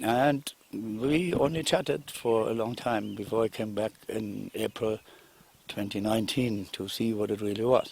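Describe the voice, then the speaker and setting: In a German accent, a man speaks at a fairly slow pace. His pitch variation is ordinary. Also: medium pitch for a man. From Germany. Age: 60s. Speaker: investor. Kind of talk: testimony.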